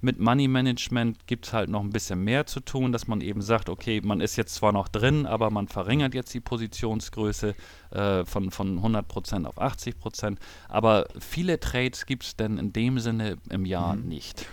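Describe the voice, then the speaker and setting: A man's fairly low voice, ordinary pitch variation, moderate pace. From northern Germany, Hamburg. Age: 40s. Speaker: trader and former business owner. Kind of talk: interview. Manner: hesitant, many fillers and repetitions.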